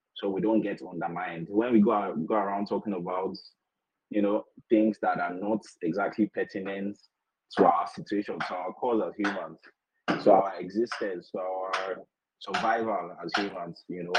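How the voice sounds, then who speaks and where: A man speaks in a plain, everyday voice with fairly low pitch. His pace is moderate and his intonation fairly even. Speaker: podcaster. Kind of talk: panel discussion. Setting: online audio room.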